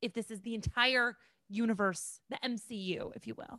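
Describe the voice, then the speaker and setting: A high-pitched woman's voice in an Upper Midwest accent, with a dry, close sound and no echo. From Minnesota, near Rochester. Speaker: comedian. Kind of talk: casual chat.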